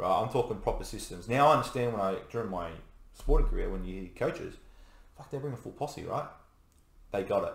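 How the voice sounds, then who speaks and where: A man with an Australian accent talks at a very fast pace, broken by long, frequent pauses. His loudness swings widely, and audible room echo surrounds him. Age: 30s. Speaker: navy serviceman. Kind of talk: casual chat.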